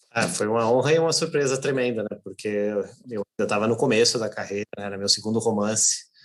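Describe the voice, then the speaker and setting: The speaker talks at a fairly quick pace with hardly any pauses. Pitch varies in an ordinary way. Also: man, medium pitch for a man. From Brazil, raised in São Paulo (born in Natal). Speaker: novelist and editor. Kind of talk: interview conversation. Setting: online live stream.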